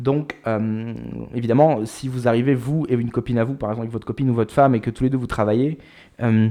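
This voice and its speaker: A dark, mellow tone with fairly even intonation. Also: man. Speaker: YouTuber, expat entrepreneur. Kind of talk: casual vlog talk to camera. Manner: fast; hesitant, many fillers.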